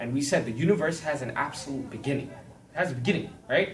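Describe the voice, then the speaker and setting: With audible room echo, a man speaks at a fairly high pitch and with lively intonation. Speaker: Bible class teacher. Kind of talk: lecture. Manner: fast.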